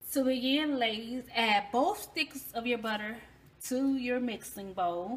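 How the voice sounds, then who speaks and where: A woman talks at a fairly slow pace in a high pitch, with a Southern US accent and ordinary pitch variation. Noticeable background noise runs under her voice. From US South. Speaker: cooking channel host. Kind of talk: cooking tutorial. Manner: animated.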